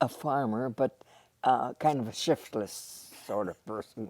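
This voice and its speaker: Speaking in an Upper Midwest accent, a woman with a very deep, low pitch has a dark, mellow tone and lively intonation. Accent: Upper Midwest (Minnesota). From northwestern Minnesota. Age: 80s. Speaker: retired teacher. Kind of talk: interview. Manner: halting, many fillers.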